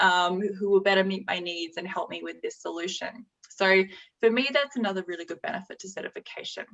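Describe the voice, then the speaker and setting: A woman at a very fast pace with an Australian accent, medium pitch, ordinary pitch variation and big swings in loudness. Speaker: executive director of a mediation institute. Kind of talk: slide presentation.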